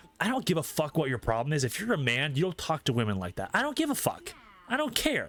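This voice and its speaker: Over noticeable background noise, a man talks very fast in a fairly high voice with very wide pitch swings. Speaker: streamer. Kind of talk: casual chat. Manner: loud; animated.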